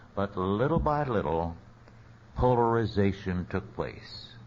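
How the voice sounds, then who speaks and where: Speaking at a very slow pace with an American accent, a man uses a fairly low, somewhat breathy voice and lively intonation. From US West, central California. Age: 80s+. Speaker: theologian and lecturer. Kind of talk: lecture.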